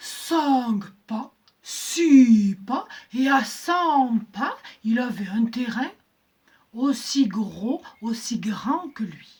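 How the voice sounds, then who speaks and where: The woman's tone is playful. She speaks at a very slow pace. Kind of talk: oral folk-tale telling. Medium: read story. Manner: rhythmic, repetitive, playful.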